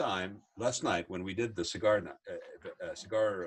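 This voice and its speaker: A man speaks at a fairly slow pace in a plain, everyday voice, with a medium pitch. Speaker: podcast host. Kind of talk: casual interview conversation.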